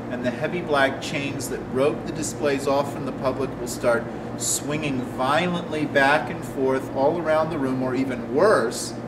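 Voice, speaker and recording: Against noticeable background noise, a man with a fairly high pitch talks with fairly even intonation and hardly any pauses. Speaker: ghost tour guide. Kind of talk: interview answer.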